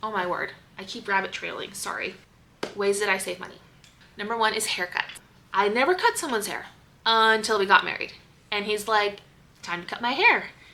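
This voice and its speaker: Against noticeable background noise, a woman with a fairly high pitch talks at a fairly quick pace, with fairly even intonation and long, frequent pauses. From US Pacific Northwest, Seattle. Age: 30s. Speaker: stay-at-home mom vlogger. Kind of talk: casual vlog talk.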